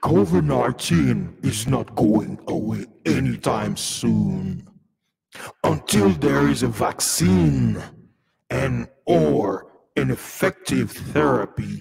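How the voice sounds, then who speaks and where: Putting on a sinister character voice, a man speaks very slowly at a very deep, low pitch with very wide pitch swings. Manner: evil, sinister.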